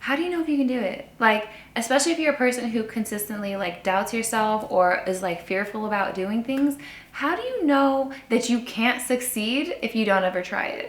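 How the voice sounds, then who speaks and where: Lively intonation and an animated tone at a moderate pace, with noticeable background noise. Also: woman, fairly high pitch for a woman. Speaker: human design coach and sound healer. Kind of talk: casual vlog monologue.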